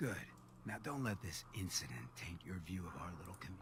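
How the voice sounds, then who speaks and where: Over loud background noise, a man puts on a character voice with a very deep, low pitch at a moderate pace. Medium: video game. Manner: laid-back, smooth, streetwise.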